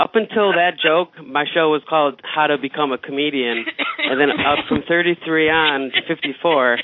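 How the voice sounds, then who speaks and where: Noticeable background noise sits behind a man whose fairly high pitch shows ordinary variation. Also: very even loudness. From Middle East. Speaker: comedian. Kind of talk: casual chat. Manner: fast; halting.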